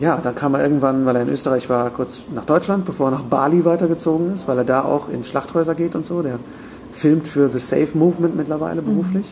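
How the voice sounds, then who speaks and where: Noticeable background noise runs under a man's voice. He moves at a fairly quick pace with ordinary pitch variation. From Germany, rural. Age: 30s. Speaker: podcaster and voice actor. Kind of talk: casual chat. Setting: hotel room.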